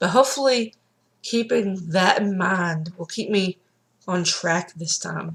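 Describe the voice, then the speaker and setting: A woman uses lively intonation at a medium pitch. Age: 30s. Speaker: weight loss vlogger. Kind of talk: personal vlog.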